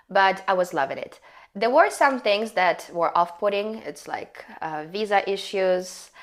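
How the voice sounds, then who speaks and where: A woman speaks at a medium pitch and a moderate pace with ordinary pitch variation. There is noticeable background noise. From Ukraine. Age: 30s. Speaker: English teacher and dancer. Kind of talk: casual chat.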